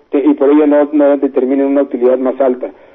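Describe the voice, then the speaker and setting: A man's fairly high voice at a fairly quick pace. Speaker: radio host, tax accountant. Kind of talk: call-in radio Q&A on taxes.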